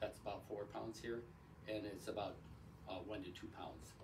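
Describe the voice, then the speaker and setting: A man with an American accent and a fairly low pitch, at a moderate pace, with audible room echo. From Wisconsin. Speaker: chiropractor. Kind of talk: promotional talk to camera. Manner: halting, many fillers.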